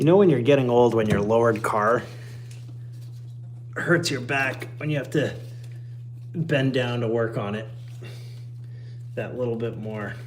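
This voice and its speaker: A man speaks with ordinary pitch variation and long, frequent pauses, with audible room echo and noticeable background noise. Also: medium pitch for a man, moderate pace. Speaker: car mechanic livestreamer. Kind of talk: live-streamed tutorial. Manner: casual, self-deprecating muttering.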